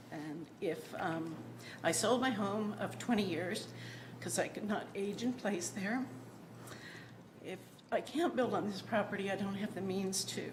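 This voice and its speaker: Long, frequent pauses mark a woman's speech, heard with noticeable background noise and audible room echo. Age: 60s. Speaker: property owner requesting variance. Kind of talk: public meeting testimony. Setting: city planning commission meeting. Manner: hesitant, many ums.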